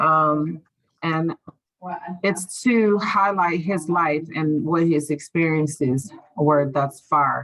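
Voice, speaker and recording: Here a woman speaks at a very slow pace. Her fairly low pitch shows ordinary variation. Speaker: interviewer, channel host. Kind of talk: interview.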